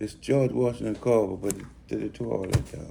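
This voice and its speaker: Somewhat breathy, a man's dark, mellow voice makes very wide pitch swings. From Belize, then New Orleans from age 13. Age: 70s. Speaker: interviewee, retired mechanic. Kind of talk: oral history interview. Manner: halting.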